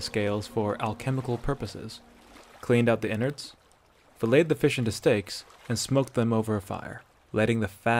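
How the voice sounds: Natural reading voice, nothing more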